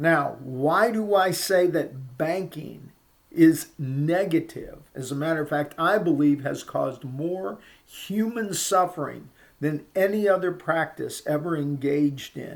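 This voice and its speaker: A man with a fairly high pitch and a plain, everyday voice. He talks at a fairly slow pace with ordinary pitch variation. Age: 60s. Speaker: lawyer and political commentator. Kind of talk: monologue to camera.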